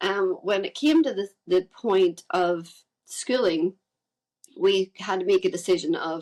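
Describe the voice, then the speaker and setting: A woman with a Northern Irish accent, medium pitch, ordinary pitch variation and a fairly slow pace. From Northern Ireland, Carrickfergus near Belfast. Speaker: musician and podcast guest. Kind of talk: interview conversation.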